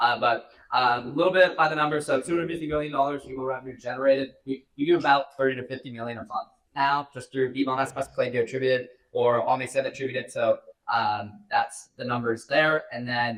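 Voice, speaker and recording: A man talks at a very fast pace at a medium pitch. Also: fairly even intonation. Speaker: email marketing agency founder. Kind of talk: stage presentation. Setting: stage with audience.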